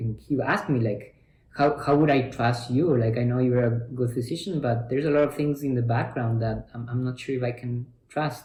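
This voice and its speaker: A man talks at a moderate pace in a medium pitch with fairly even intonation. His voice is somewhat breathy, with a dark, mellow tone. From Ecuador. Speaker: physician. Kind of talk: interview answer.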